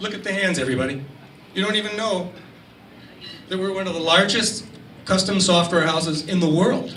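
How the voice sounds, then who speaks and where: Very fast speech with ordinary pitch variation carries audible room echo and noticeable background noise. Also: man. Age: 60s. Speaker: marketing executive and speaker. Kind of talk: presentation to an audience. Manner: animated.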